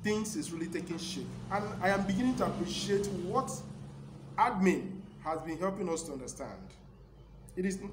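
A man speaks with long, frequent pauses. Noticeable background noise runs underneath. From Nigeria. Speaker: community broadcaster. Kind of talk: motivational broadcast speech. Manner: formal. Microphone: phone near.

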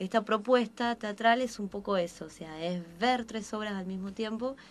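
A woman uses a normal speaking voice at a moderate pace, pitched fairly high with ordinary pitch variation. Her loudness swings widely. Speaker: actress. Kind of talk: radio interview answer. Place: studio. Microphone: studio mic.

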